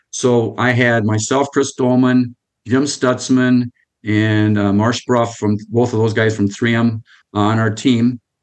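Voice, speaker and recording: A man with an Upper Midwest accent speaks very slowly in a medium pitch, his intonation flat and monotone and his loudness very even. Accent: Upper Midwest American. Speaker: retired computer salesman. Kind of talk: casual interview. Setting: video call.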